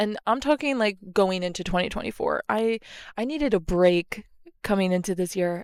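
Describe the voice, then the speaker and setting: On a very clean recording with a silent background and a dry, close sound with no echo, a woman talks at a moderate pace and medium pitch. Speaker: podcast host and micro influencer. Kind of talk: casual solo podcast monologue. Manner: chatty with frequent fillers; natural conversational, not put-on.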